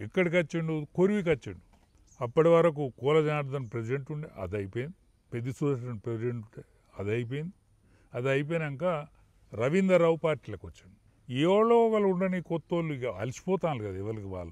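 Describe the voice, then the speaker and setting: A man speaks with very wide pitch swings and big swings in loudness. The background is quiet and the sound is dry with no echo. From Telangana, Warangal district; Telangana. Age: 70s. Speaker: veteran politician; politician interviewee. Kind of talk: political interview. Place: garden.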